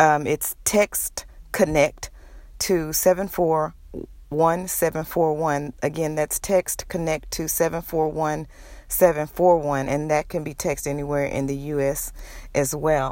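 The woman's voice is very deep and low, with monotone, flat intonation at a fairly slow pace. The recording is very clean, with a silent background. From Texas, Houston. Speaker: podcaster, domestic violence survivor. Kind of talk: personal testimony monologue. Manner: hesitant, frequent fillers.

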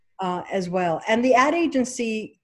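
A woman's fairly high, somewhat breathy voice. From Egypt. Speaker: casting director. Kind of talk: casual interview.

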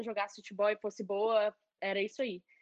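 With a Minas Gerais accent, a woman speaks fairly quickly in a fairly high pitch. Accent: Mineiro Brazilian Portuguese. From Belo Horizonte, Brazil. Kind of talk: casual interview chat. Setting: video call, livestream.

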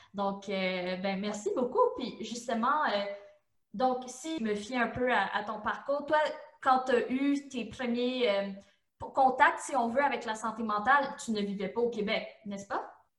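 In a room with audible echo, a woman speaks fairly slowly at a high pitch. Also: ordinary pitch variation. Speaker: podcast host. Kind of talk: interview.

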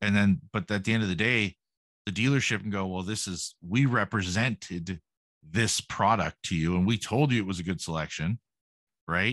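This man has an ordinary speaking voice with a Canadian accent, a fairly low pitch and ordinary pitch variation, talking at a moderate pace in a dry, close sound with no echo. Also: quiet background. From Canada. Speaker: podcast host. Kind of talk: casual interview chat.

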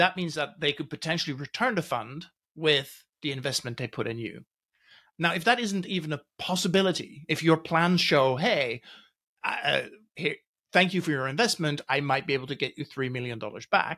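A man speaks at a moderate pace with lively intonation and a fairly high pitch. His tone is bright and sharp, and the recording is very clean, with a silent background. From Netherlands, raised in Norway. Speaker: tech journalist and former venture capitalist. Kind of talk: podcast interview.

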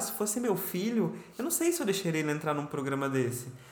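A high-pitched man talks at a fairly quick pace with very wide pitch swings, amid noticeable background noise and audible room echo. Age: 30s. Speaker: podcast host. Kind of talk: casual chat.

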